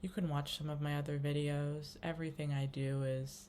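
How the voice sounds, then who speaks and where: Soft-spoken and raspy, a woman talks in a very deep, low pitch with a dark, mellow tone and monotone, flat intonation. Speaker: spiritual vlogger. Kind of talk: casual monologue vlog. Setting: home kitchen. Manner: quiet, soft-spoken; free-flowing, hesitant with many fillers.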